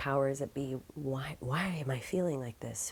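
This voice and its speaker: Over noticeable background noise, a woman with an American accent and a very deep, low voice speaks at a moderate pace. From Neenah, Wisconsin, USA. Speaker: spoken word poet. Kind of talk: personal story interview.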